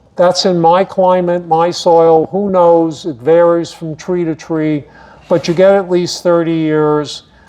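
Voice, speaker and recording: A man's high-pitched voice at a fairly slow pace, with noticeable background noise. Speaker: horticulture speaker. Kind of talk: lecture. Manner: animated.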